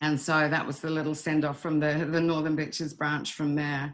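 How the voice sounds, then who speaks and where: In a New Zealand accent, a woman speaks with a very deep, low pitch. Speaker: wildlife rescue volunteer leader. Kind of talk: webinar presentation. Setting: online webinar. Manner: hesitant, many fillers.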